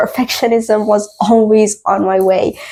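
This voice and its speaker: At a fairly slow pace, a woman with a non-native accent talks in a fairly high pitch with ordinary pitch variation. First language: not English. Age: 20s. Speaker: podcast host. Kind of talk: casual podcast monologue. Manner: hesitant, many fillers.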